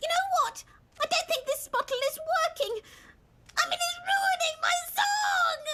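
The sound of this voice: A female-sounding cartoonish character voice, extremely high-pitched, at a moderate pace with long, frequent pauses.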